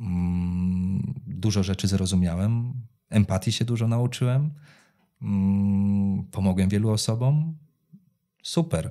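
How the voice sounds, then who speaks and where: At a very slow pace, a man with a fairly low, dark, mellow voice keeps his loudness very even, with ordinary pitch variation and a quiet background. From Poland, Węgrów; Poland. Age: 30s. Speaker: psoriasis patient and foundation founder; interview guest. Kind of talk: interview. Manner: halting, repeats words. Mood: calm, reflective, warm. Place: studio. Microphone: studio mic.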